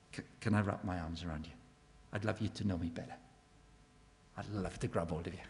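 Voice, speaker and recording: A man's very deep, low voice with a Welsh accent, very fast in pace yet broken by long, frequent pauses. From Wales. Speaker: evangelist speaker. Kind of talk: evangelistic talk. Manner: animated.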